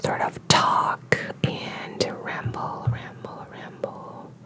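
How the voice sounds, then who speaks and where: Someone whispers very slowly in a relaxed tone against noticeable background noise. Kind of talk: ASMR rambling talk to camera. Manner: whispered, relaxed, rambling.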